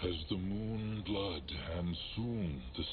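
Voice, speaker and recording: A man does a put-on character voice at a very deep, low pitch over loud background noise. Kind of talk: video game voice acting. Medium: video game. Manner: archaic troll speech, third person.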